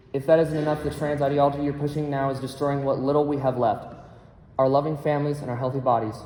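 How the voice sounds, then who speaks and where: Someone with an American accent talks at a very fast pace, with audible room echo around the voice. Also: man. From Colorado, Douglas County. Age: 20s. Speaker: public testifier at legislative hearing. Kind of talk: legislative testimony. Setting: legislative committee hearing. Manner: formal.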